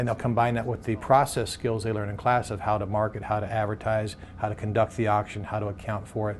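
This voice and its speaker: Against noticeable background noise, a man races at a very fast pace with hardly any pauses, his fairly low pitch monotone and flat. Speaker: auctioneering school operator. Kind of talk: interview answer.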